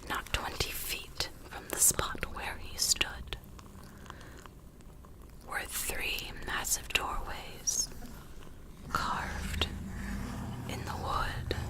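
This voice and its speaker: Whispering at a very slow pace, a woman leaves long, frequent pauses amid noticeable background noise. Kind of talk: storybook reading. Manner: soft-spoken.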